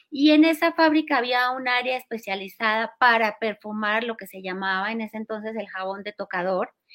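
In a plain, everyday voice, a woman with fairly high pitch and ordinary pitch variation talks at a moderate pace with hardly any pauses and big swings in loudness. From Colombia, Cali. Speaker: aromatherapy school founder. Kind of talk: interview.

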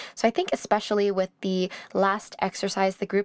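At a moderate pace, a woman talks in a normal speaking voice with a medium pitch. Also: dry, close sound with no echo. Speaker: podcast host. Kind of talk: interview, podcast intro.

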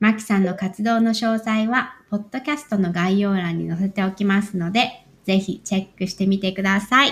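Somewhat breathy, a woman of medium pitch speaks at a moderate pace with fairly even intonation and hardly any pauses. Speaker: podcast host. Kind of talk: scripted narration.

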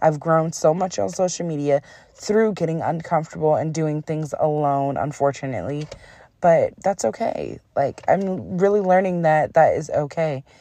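At a moderate pace, a woman with a very deep, low voice speaks in an animated tone with ordinary pitch variation. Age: 20s. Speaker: podcast host. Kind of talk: casual monologue.

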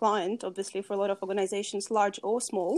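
A woman talks in a Russian accent. Her medium pitch follows fairly even intonation. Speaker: sustainability consultant. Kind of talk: interview.

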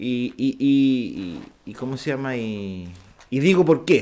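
With very wide pitch swings, a man talks in a fairly high pitch. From Chile, Viña del Mar. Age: 30s. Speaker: podcast co-host. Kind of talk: casual chat.

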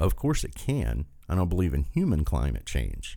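This man has an Appalachian accent. His tone is dark and mellow. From southern West Virginia. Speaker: political podcast host. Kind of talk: political rant monologue. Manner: animated.

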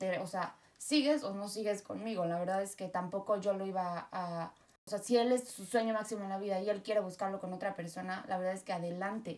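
A woman's medium-pitched, normal speaking voice at a fairly quick pace, with fairly even intonation. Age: 30s. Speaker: podcast guest, host's sister. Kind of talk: casual chat.

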